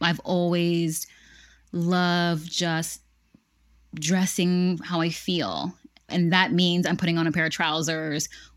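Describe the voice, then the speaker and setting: The recording is very clean, with a silent background. A woman with a fairly low pitch speaks at a fairly slow pace. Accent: American. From Pennsylvania, US. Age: 30s. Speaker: online vintage shop owner. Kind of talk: casual chat.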